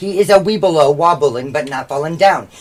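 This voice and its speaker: A very fast-talking man with a fairly high pitch and vocal fry. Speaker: podcast co-host. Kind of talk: casual comedic chat. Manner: loud; animated.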